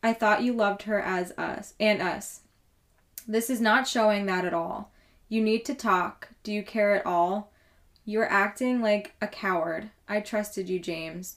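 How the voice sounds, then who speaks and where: At a fairly slow pace, a woman with an ordinary speaking voice and medium pitch keeps her intonation fairly even. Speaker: true crime podcast host. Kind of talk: casual chat.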